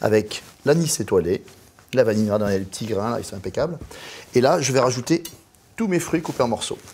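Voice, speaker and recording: A man at medium pitch with a slight southern French accent, moderate in pace, with very wide pitch swings. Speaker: chef. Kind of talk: cooking tutorial. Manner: animated.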